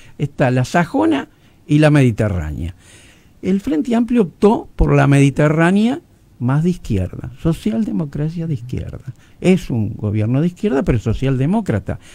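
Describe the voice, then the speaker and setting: Somewhat breathy and dark, mellow in tone, a man's fairly high voice moves at a moderate pace. His pitch swings very widely. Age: 80s+. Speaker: journalist and newspaper founder. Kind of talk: radio interview. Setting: radio studio.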